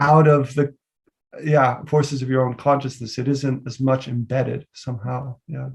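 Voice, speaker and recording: A man speaks with an American accent and monotone, flat intonation. His voice is somewhat breathy. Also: medium pitch for a man, moderate pace. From US Northeast, New York City. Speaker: poet and literature teacher. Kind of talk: Q&A discussion after lecture. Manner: halting, many fillers.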